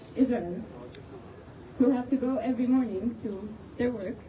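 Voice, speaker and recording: Noticeable background noise sits behind a woman who speaks slowly-ish at a fairly slow pace, her high pitch moving with ordinary variation. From Palestine (West Bank, Jericho). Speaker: student. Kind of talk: protest speech to a crowd. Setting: outdoors.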